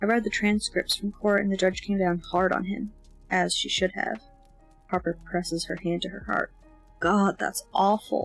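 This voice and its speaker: With music in the background, a woman speaks in a relaxed tone at a moderate pace, leaving long, frequent pauses. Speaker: amateur audiobook reader. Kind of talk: fiction narration with character dialogue. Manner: relaxed, casual.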